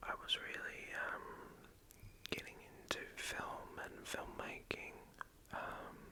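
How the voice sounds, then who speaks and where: A man whispering at a very slow pace, with long, frequent pauses over noticeable background noise. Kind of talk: ASMR movie discussion. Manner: whispered; soft-spoken, hesitant.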